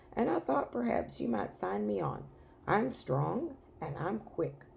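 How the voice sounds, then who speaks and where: A raspy, put-on character voice, low-to-middle in pitch and fairly slow, with clear background noise. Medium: read story. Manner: crisp, spirited.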